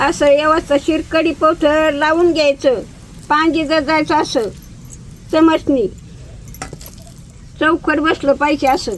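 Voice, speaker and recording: A woman's high voice with fairly even intonation and very even loudness, amid noticeable background noise. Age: old. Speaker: home cook, grandmother. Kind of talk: cooking demonstration talk to camera. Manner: warm, homely, affectionate.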